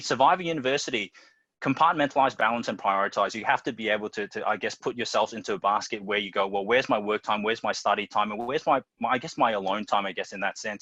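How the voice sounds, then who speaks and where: A man talks at a very fast pace with lively intonation and a bright, sharp tone. The sound is dry and close with no echo, over a quiet background. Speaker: teacher and school dean of students. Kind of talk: panel presentation.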